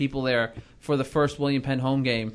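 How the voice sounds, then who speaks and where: An unremarkable speaking voice from a man, fairly high-pitched, at a moderate pace. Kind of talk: studio sports-talk panel show, not live play-by-play; analytical. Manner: fluent, upbeat host-style banter; steady, informative, lightly joking.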